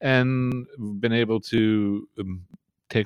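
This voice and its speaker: A man's fairly even intonation in a dry, close sound with no echo. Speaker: marketing agency co-founder. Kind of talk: casual interview chat. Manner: hesitant, filler-heavy.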